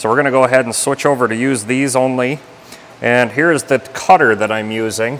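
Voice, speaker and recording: A man speaks with fairly even intonation over light background noise. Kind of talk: tutorial. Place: workshop. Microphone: phone near.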